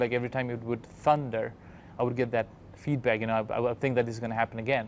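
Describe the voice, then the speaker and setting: A man speaks at a very fast pace. His medium-pitched voice stays monotone and flat. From Nepal. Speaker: doctor. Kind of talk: interview answer.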